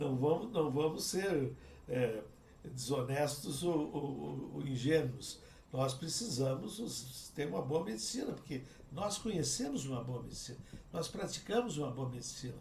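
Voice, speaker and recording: A man's medium-pitched voice at a moderate pace, ordinary pitch variation, audible room echo and noticeable background noise. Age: 70s. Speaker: cardiac surgeon and professor. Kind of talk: interview conversation.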